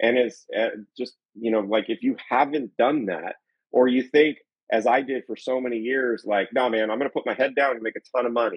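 Fairly quick and fairly even in intonation, this man talks at a medium pitch in an ordinary speaking voice. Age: 40s. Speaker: podcast co-host, sales and business coach. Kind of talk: casual chat.

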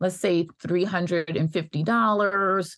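Using a plain, everyday voice, a woman with an American accent speaks at a fairly low pitch. Her pace is moderate. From New York (Bronx). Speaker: physician and legal advocate. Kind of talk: interview chat.

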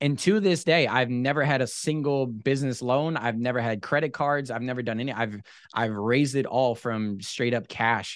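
A man speaks at a moderate pace with hardly any pauses. His medium pitch shows ordinary variation, over a quiet background. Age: 20s. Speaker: boat detailing business owner. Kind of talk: casual chat. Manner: animated.

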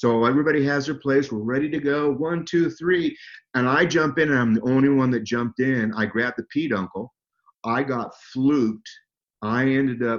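An American-accented man with an unremarkable speaking voice talks at a moderate pace with ordinary pitch variation. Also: medium pitch for a man. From Southern California. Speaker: animal trainer and falconer. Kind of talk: interview, storytelling.

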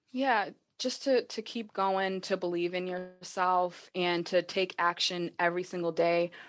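Over a quiet background, a woman with an American accent talks at a fairly slow pace and medium pitch. It is an ordinary speaking voice with fairly even intonation. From Massachusetts. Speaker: social media marketer. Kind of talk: interview conversation. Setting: video call.

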